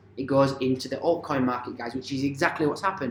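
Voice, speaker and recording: The man speaks with fairly even intonation. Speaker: crypto and stock market commentator. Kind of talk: market analysis video. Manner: fast.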